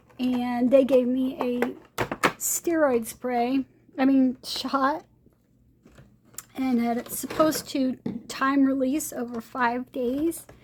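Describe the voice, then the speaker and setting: A woman's high, monotone voice with flat intonation, a very slow pace, long and frequent pauses, and noticeable background noise. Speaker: craft video creator. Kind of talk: product review. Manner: hesitant, many fillers.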